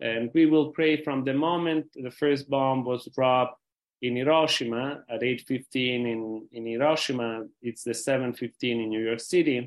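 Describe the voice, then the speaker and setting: A man with an Italian accent at medium pitch, moderate pace, fairly even intonation, and hardly any pauses. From Rome, Italy. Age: 60s. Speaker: peace foundation president. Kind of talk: interview. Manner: halting.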